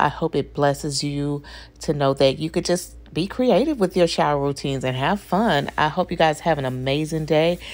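At a moderate pace, a woman talks in a very deep, low pitch with ordinary pitch variation. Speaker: beauty vlogger. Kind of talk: casual vlog chat. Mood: warm and friendly. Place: bathroom. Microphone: phone near.

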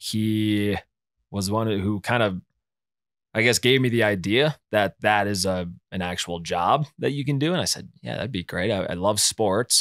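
A man with an American accent talks at a fairly slow pace in a fairly low pitch with ordinary pitch variation, the sound dry with no echo and the background quiet. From western Wisconsin, US Upper Midwest. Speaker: sports broadcaster; guest. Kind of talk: casual chat. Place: studio. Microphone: studio mic.

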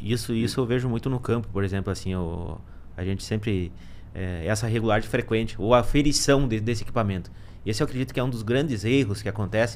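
A man talks at a very fast pace with ordinary pitch variation over light background noise. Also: fairly low pitch for a man. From Rio Grande do Sul, Brazil. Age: 30s. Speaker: agronomy consultant; guest. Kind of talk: casual podcast conversation. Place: studio. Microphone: studio mic.

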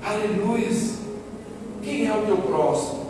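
A high-pitched man at a very slow pace, with strong room echo and noticeable background noise. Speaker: preacher. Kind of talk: sermon to a live congregation, fervent preaching with calls for response. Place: stage.

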